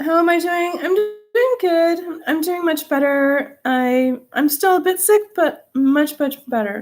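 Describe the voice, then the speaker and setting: A woman's extremely high-pitched voice, very slow in pace yet with hardly any pauses, and lively in intonation. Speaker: livestream host. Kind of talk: casual chat. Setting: live video chat. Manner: low energy.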